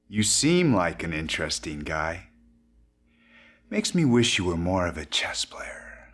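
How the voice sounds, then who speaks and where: A man's put-on character voice, very deep and low, at a moderate pace with long, frequent pauses, in a very clean recording with a silent background. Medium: video game. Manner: measured, wry.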